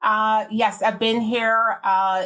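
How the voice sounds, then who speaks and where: A woman speaks in a Jamaican accent. Her intonation stays fairly even. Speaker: beverage industry executive. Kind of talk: interview.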